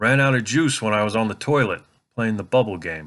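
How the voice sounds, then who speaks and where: A man does a put-on character voice at a medium pitch. He moves at a fairly quick pace with lively intonation. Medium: read story.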